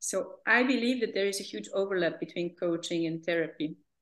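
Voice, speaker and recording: A woman speaks in a Hungarian accent at a fairly low pitch, with vocal fry. Her pace is moderate and her pitch variation ordinary. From Hungary. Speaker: therapist. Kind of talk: interview. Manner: hesitant, many fillers.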